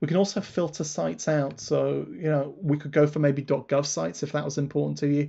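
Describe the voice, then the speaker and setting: A somewhat breathy man speaks at a very fast pace with a fairly high pitch. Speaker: webinar presenter demonstrating software. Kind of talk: live webinar software demo.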